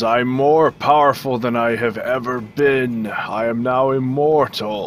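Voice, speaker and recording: A man puts on a character voice at a medium pitch. Clear background noise sits behind him. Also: fairly slow pace. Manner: ominous.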